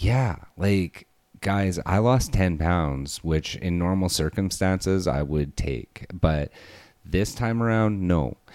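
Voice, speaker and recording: A man speaks at a very slow pace with a very deep, low pitch. His loudness stays very even. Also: ordinary pitch variation. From Alberta, Canada. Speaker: podcast host. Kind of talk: casual chat.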